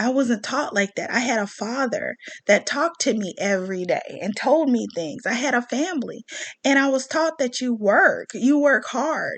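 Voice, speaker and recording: An animated, high-pitched woman's voice with an American accent. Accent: Southern US, thicker when riled up. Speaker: commentary vlogger. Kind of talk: rant monologue.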